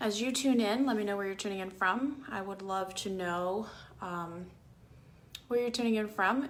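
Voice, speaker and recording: In an American accent, a woman speaks at a medium pitch and moderate pace with ordinary pitch variation, and the room echo is audible. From Cuba (emigrated to US at ten). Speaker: political commentator. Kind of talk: livestream talk. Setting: Facebook live video. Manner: animated.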